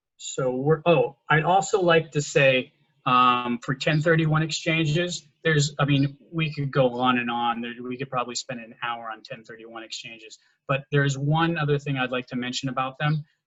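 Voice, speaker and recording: At a moderate pace, the voice shows ordinary pitch variation and big swings in loudness. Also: man, fairly high pitch for a man. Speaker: tax advisor. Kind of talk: presentation. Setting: video call. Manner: halting.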